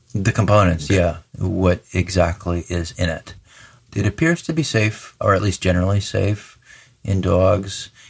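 A man with an American accent and a very deep, low pitch speaks somewhat breathily at a fairly slow pace with ordinary pitch variation, in a very clean recording with a silent background. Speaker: veterinarian. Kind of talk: expert interview explanation.

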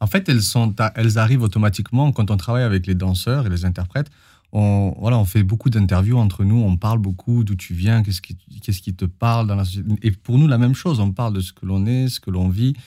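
A man's fairly low, dark, mellow voice comes through somewhat breathy on a very clean recording with a silent background. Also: ordinary pitch variation, fairly quick pace. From southern France, Perpignan. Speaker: choreographer and dancer. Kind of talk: interview.

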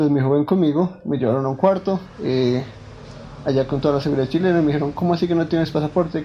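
This man's pitch is fairly high. His intonation is fairly even. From Colombia, Bogotá savanna. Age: 20s. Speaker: philosopher telling personal story. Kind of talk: personal testimony. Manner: hesitant, many fillers.

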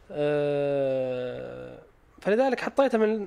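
A man speaks with very wide pitch swings. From Saudi Arabia, Eastern Province (Khobar). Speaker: startup founder, 3D printing company. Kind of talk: interview, casual chat.

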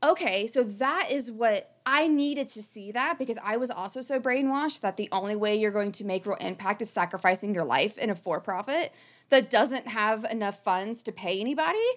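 Fairly high-pitched, a woman with an American accent talks at a fairly quick pace with lively intonation and a plain, everyday voice. The recording is very clean, with a silent background. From rural southern Ohio, US. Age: 30s. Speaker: podcast host and conservation biologist. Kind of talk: casual chat.

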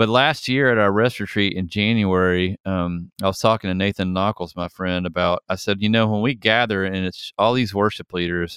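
Here is an unremarkable speaking voice from a man, fairly low in pitch with fairly even intonation at a moderate pace. The sound is dry and close with no echo, and the background is quiet. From US South, Atlanta, Georgia. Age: 50s. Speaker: worship leader. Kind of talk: casual chat.

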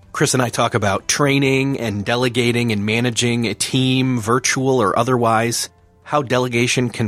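The sound is dry and close, with no echo, and music plays in the background. A man speaks with an American accent. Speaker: podcast host.

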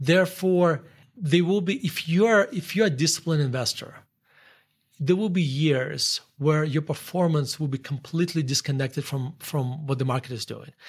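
A man with a Russian accent, fairly high pitch, ordinary pitch variation and moderate pace. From northern Russia. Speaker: investor and author. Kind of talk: casual interview conversation. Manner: halting, with frequent fillers and restarts.

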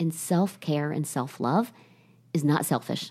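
In an American accent, a woman speaks at a moderate pace with a fairly low pitch and a somewhat breathy, dark, mellow tone, on a very clean recording with a silent background. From Ohio. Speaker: salon company CEO. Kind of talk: interview.

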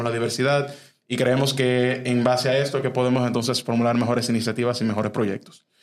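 A man's medium-pitched voice at a fairly quick pace, with audible room echo. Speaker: youth civic organization member. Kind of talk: interview. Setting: studio. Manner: halting, many fillers.

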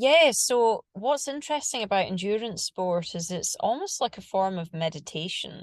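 Against a quiet background, a woman of medium pitch speaks at a moderate pace with hardly any pauses and very wide pitch swings. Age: 40s. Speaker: screenwriter and producer, triathlete. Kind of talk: interview.

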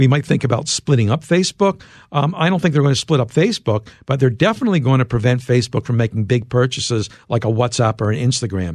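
Speaking very fast in an American accent, a man uses lively intonation and holds his loudness very even. His medium-pitched voice is somewhat breathy. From US, Philadelphia. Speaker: journalist and author. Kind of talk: interview.

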